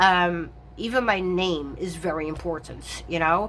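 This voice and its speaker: The voice has vocal fry. Its tone is bright and sharp. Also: woman. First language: not English. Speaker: tarot reader and content creator. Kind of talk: casual chat. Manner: halting, many fillers.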